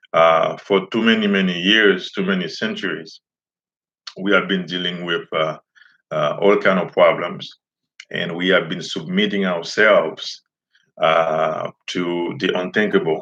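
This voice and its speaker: In a Haitian accent, a man speaks at a fairly slow pace. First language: Haitian Creole. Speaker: teacher and community activist. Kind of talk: live stream monologue. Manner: halting, many fillers.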